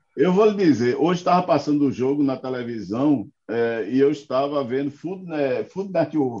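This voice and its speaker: With lively intonation and a medium pitch, a man talks at a moderate pace in a plain, everyday voice. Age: 50s. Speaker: political commentator. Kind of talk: casual political chat.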